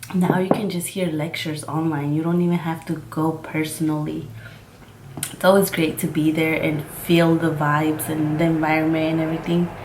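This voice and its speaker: With noticeable background noise and audible room echo, a woman speaks at a moderate pace in a very deep, low pitch, her intonation monotone and flat. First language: Mixtec. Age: 20s. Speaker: makeup vlogger. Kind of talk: casual chat.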